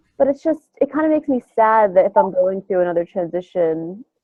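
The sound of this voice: A nasal woman's voice at medium pitch, lively intonation, dry and close with no echo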